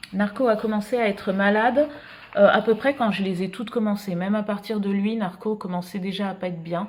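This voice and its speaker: Against noticeable background noise, a woman at medium pitch talks at a fairly quick pace with fairly even intonation. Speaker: illustrator and art vlogger. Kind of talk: casual vlog talk. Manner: hesitant, many fillers.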